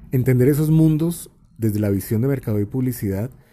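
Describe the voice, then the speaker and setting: A man's tone is dark, mellow and somewhat breathy. His pitch moves with ordinary variation. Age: 40s. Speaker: podcast host, creative school director. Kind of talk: solo monologue podcast. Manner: casual, conversational with fillers.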